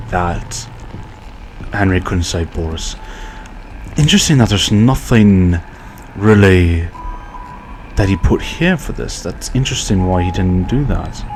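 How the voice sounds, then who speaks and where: Over noticeable background noise, a man speaks with a very deep, low pitch and ordinary pitch variation. His pace is fairly slow, with long, frequent pauses. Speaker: gaming YouTuber. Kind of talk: let's play commentary. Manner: quiet, soft-spoken.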